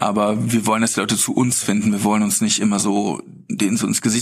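Noticeable noise fills the background. Over it, a man rattles along very fast. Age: 40s. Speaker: beverage company co-founder. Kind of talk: casual interview. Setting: podcast bus at a conference.

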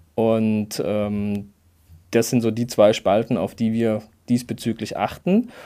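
A dark, mellow tone in a monotone, flat intonation at a very slow pace, on a very clean recording with a silent background. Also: man, medium pitch for a man. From Karlsruhe area, Baden. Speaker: gynecologist and obstetrician. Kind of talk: expert interview.

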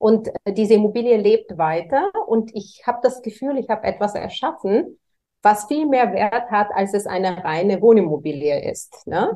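The woman has a Bulgarian accent and a fairly high pitch. She talks at a moderate pace with lively intonation. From Bulgaria, Varna. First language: Bulgarian (speaking German). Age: 40s. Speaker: real estate executive. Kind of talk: interview.

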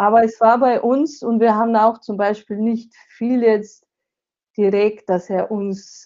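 A woman speaks with a Slovenian accent. Her pace is fairly slow and her intonation fairly even. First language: Slovenian (speaking German). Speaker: author and seminar leader. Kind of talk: interview.

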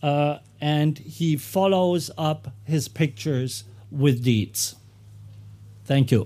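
Speaking very slowly with long, frequent pauses, a man with a German accent has a fairly high pitch, ordinary pitch variation and a dark, mellow tone. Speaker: photographer. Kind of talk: talk at exhibition.

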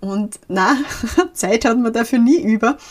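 A woman's very slow, somewhat breathy voice. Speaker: podcast host and life and social counsellor. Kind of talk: solo podcast talk. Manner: casual, mixing formal and dialect.

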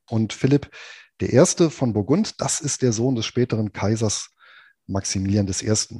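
A man's fairly low, somewhat breathy voice has a dark, mellow tone and a moderate pace. The sound is dry and close with no echo, over a quiet background. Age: 40s. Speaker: finance blogger and podcast co-host. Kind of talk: history storytelling podcast chat.

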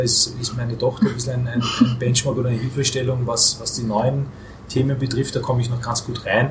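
Over noticeable background noise, a man talks fairly quickly at a medium pitch with monotone, flat intonation. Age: 40s. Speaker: market research agency owner. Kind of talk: podcast interview. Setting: hotel.

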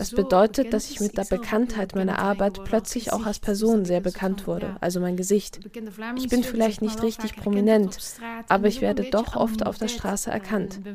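A woman with a medium pitch and fairly even intonation talks at a moderate pace while noticeable background noise sounds behind her. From Flanders, Belgium (Kempen region). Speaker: novelist. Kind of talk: interview. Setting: at home in Brussels.

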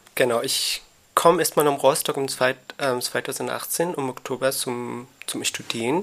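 A man's voice at medium pitch, with fairly even intonation. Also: fairly slow pace. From Afghanistan. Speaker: migrant youth counselor. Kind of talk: casual interview. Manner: halting, searching for words.

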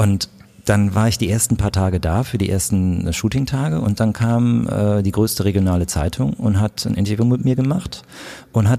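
This man's tone is dark and mellow. He speaks at a moderate pace with lively intonation. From Germany, Königswinter (Rhineland). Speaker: photographer. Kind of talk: interview.

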